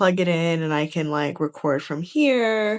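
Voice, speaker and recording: In a New York accent, a woman speaks at a moderate pace. Her pitch is fairly low, with ordinary pitch variation. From New York City, Lower East Side Manhattan. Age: 30s. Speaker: vlogger and creative director. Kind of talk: casual vlog chat.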